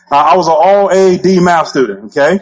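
A man speaks at a high pitch and a moderate pace in an animated tone. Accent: Alabama. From US South, Alabama. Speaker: network marketing trainer. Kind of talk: motivational training talk. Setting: stage with audience.

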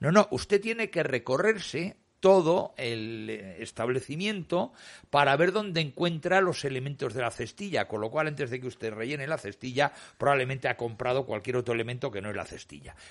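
Against a quiet background, a man talks fairly quickly at a fairly high pitch with very wide pitch swings. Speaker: radio host standing in for the director. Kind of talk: radio talk show panel discussion.

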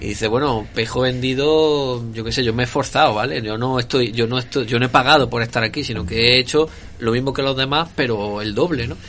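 A man talks with hardly any pauses over noticeable background noise. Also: medium pitch for a man, ordinary pitch variation, fairly quick pace. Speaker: podcast co-host. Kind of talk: casual chat.

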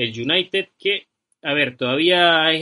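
This is a man speaking with a fairly high pitch. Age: 20s. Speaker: football podcast host. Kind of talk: casual football talk show. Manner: animated.

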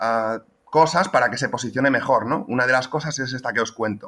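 A man talks at a fairly quick pace in a medium pitch, his tone bright and sharp and his pitch varying in an ordinary way. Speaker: SEO specialist. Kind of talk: casual panel chat about SEO. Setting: at parents' home in a small village.

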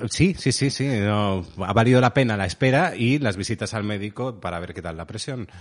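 A man's fairly low voice at a moderate pace, lively in intonation, with hardly any pauses and big swings in loudness. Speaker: podcast co-host. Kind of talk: casual chat. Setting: home recording.

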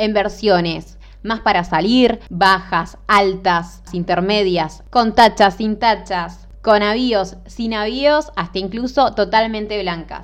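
A woman at medium pitch speaks at a very slow pace with hardly any pauses. Her pitch variation is ordinary. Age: 20s. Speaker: podcast host, footwear designer. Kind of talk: solo podcast monologue. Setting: home recording. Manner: halting.

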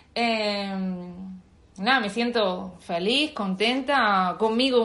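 Fairly even, fairly high female speech with audible room echo. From Andalusia, Spain (Bailén, Jaén). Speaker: expat interviewee. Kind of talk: casual interview. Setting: video call.

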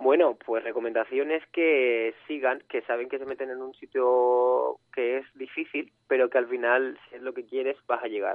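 A man of medium pitch talks at a fairly slow pace in a monotone, flat delivery with hardly any pauses and big swings in loudness. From Canary Islands. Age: 20s. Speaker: photographer. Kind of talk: interview.

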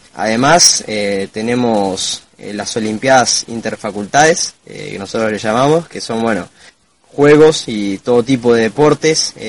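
A man with an unremarkable speaking voice at medium pitch talks with big swings in loudness and ordinary pitch variation. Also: fairly slow pace. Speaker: veterinary student. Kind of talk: interview.

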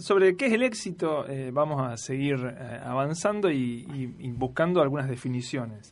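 At a moderate pace, a man with an ordinary speaking voice talks at a fairly high pitch with lively intonation. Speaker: radio host and university lecturer. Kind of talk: casual chat.

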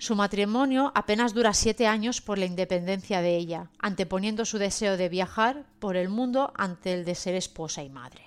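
A woman speaks at medium pitch and a moderate pace with ordinary pitch variation and hardly any pauses, in an ordinary speaking voice, on a very clean recording with a silent background. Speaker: podcast section presenter. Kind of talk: scripted narration. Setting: virtual studio.

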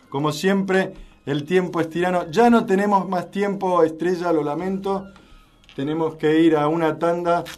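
A high-pitched man speaks at a fairly slow pace with fairly even intonation amid audible room echo. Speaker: radio host. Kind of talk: radio talk show.

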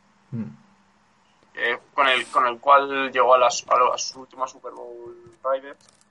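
Big swings in loudness from a man talking at a fairly slow pace. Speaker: football pundit. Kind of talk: casual chat. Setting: video call. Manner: halting, repeats words.

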